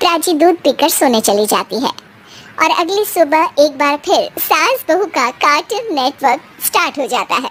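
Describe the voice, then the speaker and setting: A cartoonish character voice speaks at a high pitch. It moves at a moderate pace. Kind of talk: cartoon moral story narration. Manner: brisk, amused.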